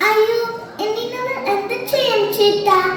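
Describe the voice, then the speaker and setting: A woman speaks in a squeaky, put-on character voice pitched extremely high, with fairly even intonation over light background noise. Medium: stage play.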